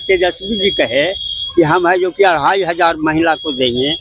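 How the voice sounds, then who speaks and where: Here a man talks in a high-pitched voice. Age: 70s. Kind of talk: street interview answer. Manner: emphatic, argumentative.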